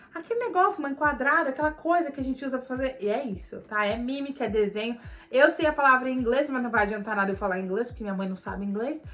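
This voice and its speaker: A woman with a Paulista accent and a high pitch, very fast, with hardly any pauses, an animated tone and lively intonation, over noticeable background noise. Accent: Paulista accent in her English. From Brazil, São Paulo. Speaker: vlogger. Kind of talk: Q&A vlog.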